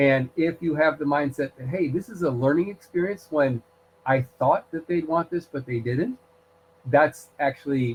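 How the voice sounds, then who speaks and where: Ordinary pitch variation in a somewhat breathy voice, delivered at a moderate pace. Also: man. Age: 60s. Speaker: college instructor. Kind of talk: online lecture. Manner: conversational, many fillers.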